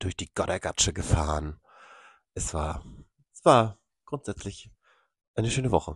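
A man speaks at a moderate pace in a very deep, low, somewhat breathy voice, with lively intonation, big swings in loudness and long, frequent pauses. The sound is dry and close with no echo, against a quiet background. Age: 30s. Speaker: podcast co-host. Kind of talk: casual chat.

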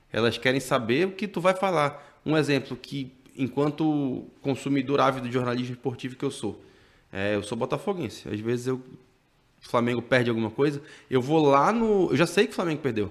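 A man's medium-pitched voice with lively intonation, on a very clean recording over a silent background. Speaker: journalist and TV news presenter. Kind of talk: casual interview chat. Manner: fast.

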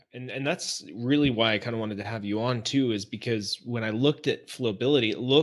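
Here is a man with a plain, everyday voice. His medium pitch has ordinary variation. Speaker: podcast host. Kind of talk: casual interview.

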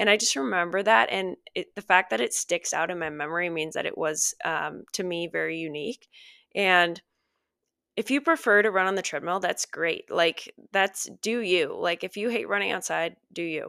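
In a normal speaking voice with an American accent, the speaker moves at a moderate pace with ordinary pitch variation, on a very clean recording with a silent background and dry, close sound with no echo. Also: woman, medium pitch for a woman. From US Midwest, Minnesota. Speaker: podcast host and personal trainer. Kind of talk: casual solo podcast talk. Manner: chatty with frequent fillers and laughs.

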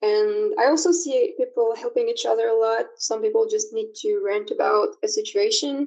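In a French accent, a woman speaks at an extremely high pitch and a moderate pace. Her pitch swings very widely. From France. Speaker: online community organizer. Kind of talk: interview. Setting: remote call.

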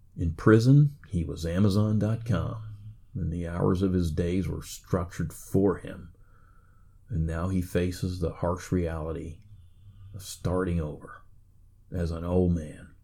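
Somewhat breathy and very deep, a man's dark, mellow voice with an American accent moves at a fairly slow pace with long, frequent pauses. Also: ordinary pitch variation. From United States. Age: 50s. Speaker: podcaster. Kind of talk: monologue.

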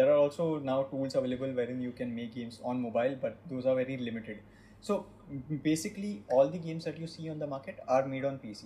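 With a Marathi accent, a man speaks at a very fast pace in a medium-pitched, somewhat breathy voice with a dark, mellow tone, ordinary pitch variation and big swings in loudness. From India, Maharashtra. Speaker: game studio CEO. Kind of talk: interview in mixed Hindi and English.

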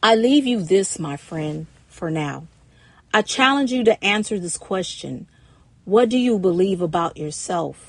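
Speaking in an ordinary speaking voice at a fairly slow pace, a woman with medium pitch uses lively intonation and big swings in loudness. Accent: American. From Ohio, Cincinnati. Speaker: domestic violence survivor and author. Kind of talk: personal testimony storytelling.

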